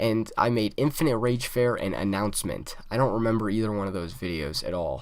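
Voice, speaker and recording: Speaking at a fairly quick pace with hardly any pauses, the voice shows ordinary pitch variation amid audible room echo. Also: man, medium pitch for a man. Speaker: YouTuber podcast host. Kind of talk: solo podcast chat. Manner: stuttering, many fillers; casual, halting.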